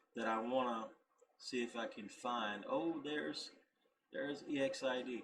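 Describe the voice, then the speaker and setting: The speaker has an American accent and talks at a fairly slow pace with long, frequent pauses. Audible room echo is present. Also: man. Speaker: YouTube reactor. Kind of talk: casual video reaction commentary. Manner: halting, self-correcting.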